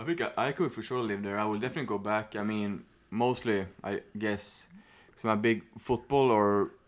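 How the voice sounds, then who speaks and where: A man with a Swedish accent speaks at a medium pitch and moderate pace with fairly even intonation, in a very clean recording with a silent background. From Sweden. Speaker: former exchange student. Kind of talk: casual chat.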